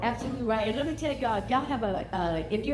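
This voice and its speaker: Amid noticeable background noise and audible room echo, a woman with an American accent speaks at a fairly high pitch with lively intonation. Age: old. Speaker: family reunion speaker. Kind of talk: casual talk to a gathering. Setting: family reunion gathering. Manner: halting, many fillers.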